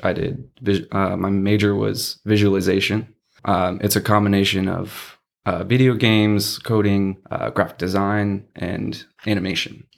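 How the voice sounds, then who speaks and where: The recording is very clean with a silent background, and a man with an American accent has an unremarkable speaking voice. He talks at a moderate pace and a fairly low pitch. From Texas, San Antonio. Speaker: LARP event organizer and graphic designer. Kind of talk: casual chat.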